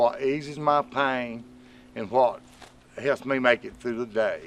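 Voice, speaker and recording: Speaking at a fairly slow pace, a man uses a medium pitch and fairly even intonation. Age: 60s. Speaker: marijuana advocate. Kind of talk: casual talk to camera.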